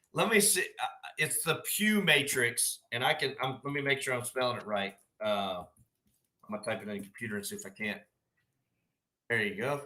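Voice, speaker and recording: Pausing long and often, a man with a medium pitch and a Southern US accent speaks in a bright, sharp tone with very wide pitch swings. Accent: Southern drawl. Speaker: firefighter officer. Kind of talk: casual chat. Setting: live stream.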